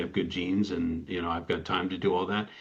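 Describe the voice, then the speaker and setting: A man speaks at a very fast pace. His pitch is fairly low, and he has an American accent. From US Midwest, Ann Arbor, Michigan. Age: 60s. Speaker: lawyer. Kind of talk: interview. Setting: podcast.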